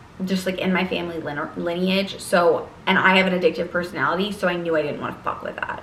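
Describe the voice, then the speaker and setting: Audible room echo and noticeable background noise surround this woman's voice. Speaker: lifestyle vlogger and college student. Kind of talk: casual vlog monologue. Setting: sitting at her desk.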